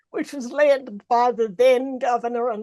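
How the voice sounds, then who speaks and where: In a dry, close sound with no echo, a woman with an Australian accent speaks at a fairly slow pace in a high pitch with ordinary pitch variation. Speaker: president of a learned society. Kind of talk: formal speech. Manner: formal.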